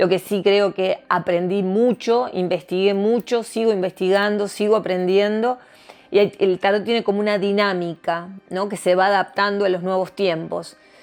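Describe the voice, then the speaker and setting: A woman at medium pitch, flat and monotone in intonation, at a moderate pace with music in the background. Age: 60s. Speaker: tarot reader. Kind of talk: interview.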